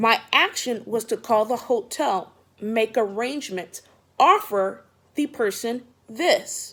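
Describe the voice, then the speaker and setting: A woman speaks very slowly with a fairly high pitch and lively intonation. The recording is very clean, with a silent background. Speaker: vlogger giving job interview advice. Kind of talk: casual advice vlog. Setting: at home, just woke up. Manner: loud.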